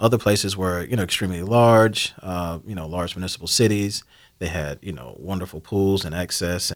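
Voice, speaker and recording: In a very clean recording with a silent background, a man's very deep, low pitch carries an American accent. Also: ordinary pitch variation. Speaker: community committee chair. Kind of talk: radio interview. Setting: studio.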